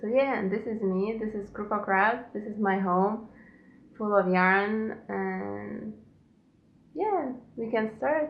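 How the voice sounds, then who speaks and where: A woman at a fairly high pitch with ordinary pitch variation, a very slow pace, long, frequent pauses and audible room echo. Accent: Lithuanian. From Lithuania. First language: Lithuanian. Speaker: knitting podcaster. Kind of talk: casual podcast monologue. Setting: at home.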